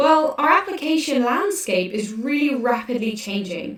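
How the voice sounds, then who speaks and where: This woman has a British accent. Her pitch is high. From UK. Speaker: developer advocate. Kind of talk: conference workshop presentation.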